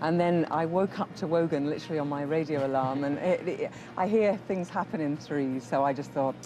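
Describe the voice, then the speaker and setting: Music plays in the background as a woman talks at a fairly quick pace in a very deep, low pitch with ordinary pitch variation. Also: hardly any pauses. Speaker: voiceover artist. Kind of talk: TV interview. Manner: halting.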